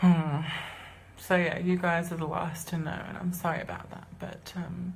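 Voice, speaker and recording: A woman speaks in a fairly low pitch with monotone, flat intonation and big swings in loudness. The recording has audible room echo and noticeable background noise. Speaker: singer and musician coming out as transgender. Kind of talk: live stream personal announcement. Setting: live video stream. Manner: fast; halting. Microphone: low quality video.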